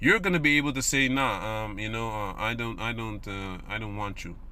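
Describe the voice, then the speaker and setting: A man speaks at a moderate pace with a bright, sharp tone. Audible room echo surrounds the voice. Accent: non-native. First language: not English. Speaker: religious video commentator. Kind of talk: religious commentary monologue. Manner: halting, many fillers and repetitions; casual.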